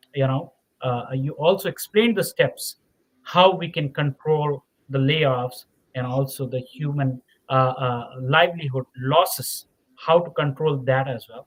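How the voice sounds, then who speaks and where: Somewhat breathy and fairly high in pitch, a man speaks at a fairly slow pace with a dry, close sound and no echo. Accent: non-native. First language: not English. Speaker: podcast host. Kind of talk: interview podcast wrap-up. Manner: halting, many fillers and repetitions.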